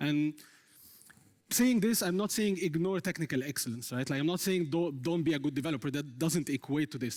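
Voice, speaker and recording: This man speaks with an Arabic accent at a fairly quick pace. The recording is very clean, with a silent background. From Egypt, Cairo. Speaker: software engineer. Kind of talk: conference talk. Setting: stage with audience.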